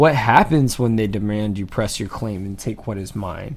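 With an American accent, a man talks at a medium pitch in a plain, everyday voice. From Atlanta, US. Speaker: podcast co-host. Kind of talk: casual chat.

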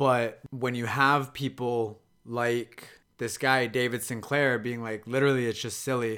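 A man with a Canadian accent, medium in pitch and bright and sharp in tone, speaking flatly and monotonously at a fairly slow pace in a very clean recording with a silent background. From Canada, Kitchener, Ontario. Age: 30s. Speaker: podcast host. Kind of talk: solo podcast monologue.

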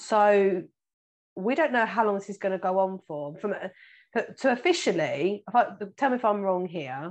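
A medium-pitched woman with a British accent, lively intonation, a moderate pace, and long, frequent pauses. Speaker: financial planner and podcast host. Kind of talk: casual interview.

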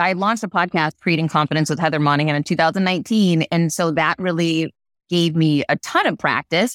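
On a very clean, dry, close recording with a silent background and no echo, a woman speaks at a moderate pace with fairly low pitch and very even loudness. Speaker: author and confidence speaker. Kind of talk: interview.

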